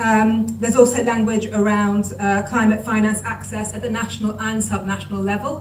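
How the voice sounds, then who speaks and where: A woman's voice carries audible room echo. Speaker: climate policy expert. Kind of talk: panel discussion. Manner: fast.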